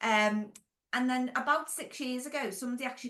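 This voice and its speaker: A woman with a Merseyside accent, high-pitched with ordinary pitch variation, at a fairly quick pace. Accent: Merseyside (Scouse). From Wirral, Merseyside, England. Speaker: former nurse, franchise business owner and consultant. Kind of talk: podcast interview. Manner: casual, conversational with fillers.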